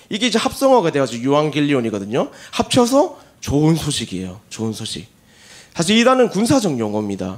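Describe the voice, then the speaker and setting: Speech comes at a very fast pace, with very wide swings in pitch. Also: man, fairly high pitch for a man. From South Gyeongsang, Korea (Gimhae). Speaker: pastor. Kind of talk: sermon. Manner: conversational, humorous asides.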